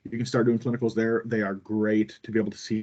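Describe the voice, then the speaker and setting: A man speaks with a fairly low pitch. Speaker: cardiology instructor for nurses and residents. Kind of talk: online lecture. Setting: video call with screen sharing. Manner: fast.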